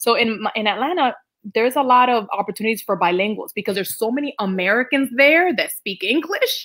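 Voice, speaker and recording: A woman with a Dominican accent, fairly high in pitch, with lively intonation at a fairly quick pace. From Dominican Republic. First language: Spanish. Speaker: Spanish teacher. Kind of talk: casual interview.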